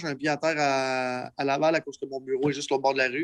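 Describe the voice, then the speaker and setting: Here is an unremarkable speaking voice from a man. He talks at a fairly quick pace with medium pitch. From Quebec. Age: 30s. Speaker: entrepreneur. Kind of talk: interview. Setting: livestream podcast.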